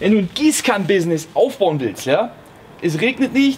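A man speaks with lively intonation at a moderate pace, light background noise audible behind him. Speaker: comedic business coach parody. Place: garden.

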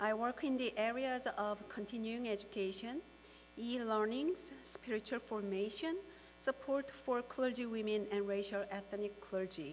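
Ordinary pitch variation at a fairly slow pace with few pauses. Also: woman, fairly high pitch for a woman.

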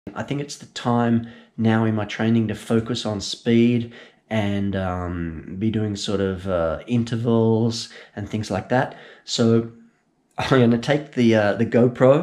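The background is quiet as a man talks, his pitch moving in an ordinary way. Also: fairly slow pace. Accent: Australian. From Australia. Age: 40s. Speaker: amateur runner. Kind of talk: casual talk to camera. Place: kitchen. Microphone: phone near.

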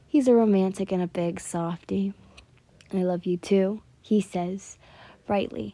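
Someone is reading aloud in a natural voice. The intonation is fairly even throughout.

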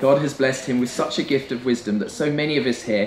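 Audible room echo and light background noise accompany a man's voice. He talks at a fairly quick pace with ordinary pitch variation. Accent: English. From England. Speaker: best man. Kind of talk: wedding speech. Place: tent.

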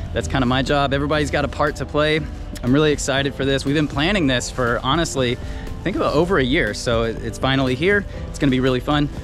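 A man at a very fast pace, with ordinary pitch variation, a dry sound with no echo, and clear music in the background. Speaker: turtle keeper vlogger. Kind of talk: casual vlog chat. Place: garden. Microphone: phone near.

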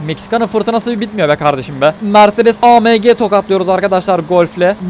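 The pace is fairly quick. There is light background noise. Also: man. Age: 20s. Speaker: gaming YouTuber. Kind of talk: gameplay commentary. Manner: animated.

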